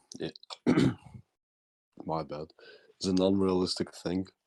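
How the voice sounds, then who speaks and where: Moderate pace and fairly even intonation. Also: man. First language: German. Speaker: caller. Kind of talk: heated debate. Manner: halting; formal.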